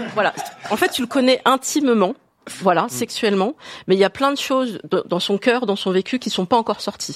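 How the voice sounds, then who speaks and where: Fairly quick and fairly high-pitched, a woman speaks with lively intonation and long, frequent pauses, in a dry, close sound with no echo. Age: 40s. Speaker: woman asking a dating question. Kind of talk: casual chat.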